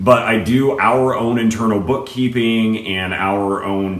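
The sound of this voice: A man at a slow pace with a fairly bright tone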